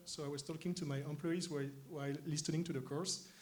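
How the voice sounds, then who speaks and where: A man with a French accent talks at a fairly quick pace, his voice fairly high and somewhat breathy. The intonation is fairly even, and the room echo is audible. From France, Paris. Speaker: tech company co-founder. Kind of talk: stage interview. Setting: conference stage with audience. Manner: hesitant, many fillers.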